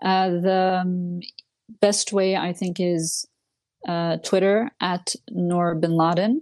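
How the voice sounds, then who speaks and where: Speaking in a French accent, a woman uses a medium pitch and monotone, flat intonation at a very slow pace. The sound is dry and close with no echo, and the background is quiet. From Switzerland. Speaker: political commentator. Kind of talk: interview. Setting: remote call.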